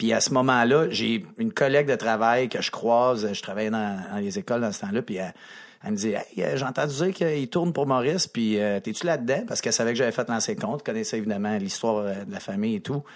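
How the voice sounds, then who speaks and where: With lively intonation, a man at medium pitch speaks at a very fast pace. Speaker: hockey coach. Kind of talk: casual chat.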